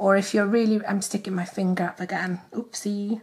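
With a Welsh accent, a woman talks at a fairly slow pace. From Wales. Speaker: nail art youtuber. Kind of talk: casual talk to camera. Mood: cheerful, chatty.

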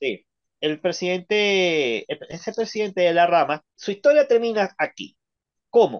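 In a quiet setting, a man talks at a fairly slow pace in a high voice. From Venezuela. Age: 30s. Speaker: ex-member of a church sharing his story; interview guest. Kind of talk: testimony. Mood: indignant, recounting bad experiences. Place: home room.

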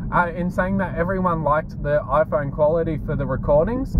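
A man's voice sounds dry and echo-free beneath loud background noise. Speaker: fitness vlogger. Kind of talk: casual vlog chat. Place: car. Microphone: phone near.

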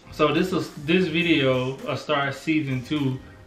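A man speaks in a room with audible echo while faint music plays in the background. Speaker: couple vlogger. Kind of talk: casual vlog chat. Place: home room.

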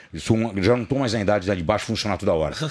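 At a very fast pace, a man talks with a fairly low pitch and ordinary pitch variation over a quiet background. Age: 50s. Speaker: fitness personality; podcast guest. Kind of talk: podcast interview, casual chat. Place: studio. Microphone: studio mic.

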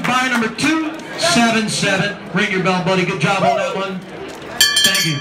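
The recording is of a male speaker. Heavy background noise is loud throughout. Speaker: auto auctioneer. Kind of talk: casual talk. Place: hall. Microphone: pa.

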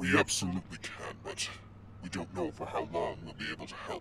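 Over clear background noise, a man does a put-on character voice at a very deep, low pitch and a fairly quick pace. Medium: audio drama. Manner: uneasy, then eager and menacing.

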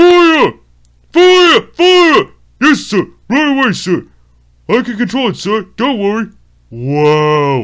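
A man does a put-on character voice at an extremely high pitch with very wide pitch swings, speaking at a very slow pace with long, frequent pauses on a very clean recording with a silent background. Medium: dub. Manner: eager, excitable.

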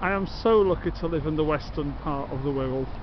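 Noticeable background noise behind a man speaking, the sound dry with no echo. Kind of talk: casual vlog chat. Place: garden. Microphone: phone near.

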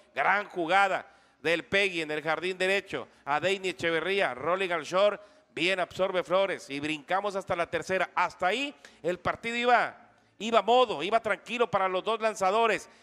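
Raising and projecting his high-pitched voice, a man speaks at a moderate pace. His tone is bright and sharp, with ordinary pitch variation. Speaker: sports broadcaster. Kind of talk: live sports commentary, baseball game recap. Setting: radio broadcast.

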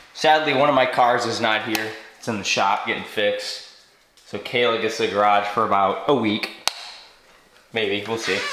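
A man talks at a moderate pace with long, frequent pauses. Audible room echo and noticeable background noise are present. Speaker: streamer and video creator; vlogger. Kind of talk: casual vlog house tour. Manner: casual, energetic. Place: home room. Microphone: phone near.

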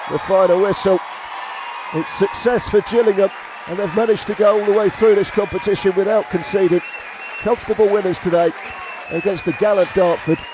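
An excited tone at a fairly quick pace with ordinary pitch variation, long, frequent pauses and crowd noise in the background. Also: man, high pitch for a man. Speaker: football match commentator. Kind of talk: live sports commentary. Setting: stadium. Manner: animated; fast, excited delivery.

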